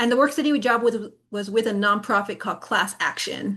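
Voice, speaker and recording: A woman speaks at a moderate pace with a bright, sharp tone and fairly even intonation against a quiet background. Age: 30s. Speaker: psychology doctoral student and presenter. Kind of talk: webinar presentation.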